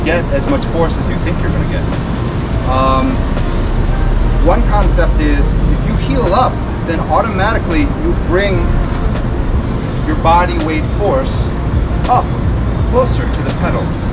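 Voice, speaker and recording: Long, frequent pauses break up the speech against loud background noise. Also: man. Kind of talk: tutorial. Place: street. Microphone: camera far.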